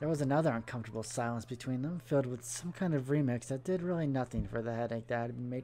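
The reading voice is natural, and its pitch varies an ordinary amount.

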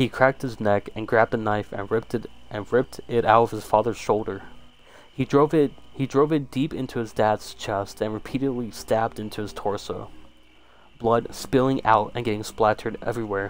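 Fairly quick speech from a man at a medium pitch, with fairly even intonation and a plain, everyday voice. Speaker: YouTube creepypasta narrator. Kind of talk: one-take horror story read-aloud, the narrator acting out a violent struggle scene. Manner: stumbling, repeats words when misreading.

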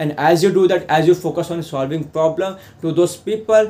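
High-pitched male speech at a fairly quick pace with ordinary pitch variation and light background noise. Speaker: affiliate marketing vlogger. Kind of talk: tutorial. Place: home room.

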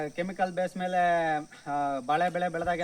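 A man speaks in a high voice. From Karnataka, Hassan district (Arsikere). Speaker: farmer. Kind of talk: farm tour explanation. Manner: casual, conversational.

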